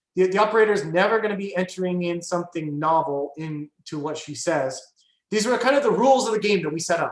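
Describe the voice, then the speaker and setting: A very fast, high-pitched man's voice with lively intonation and audible room echo. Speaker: AI researcher. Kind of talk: guest lecture with discussion. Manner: many fillers and restarts.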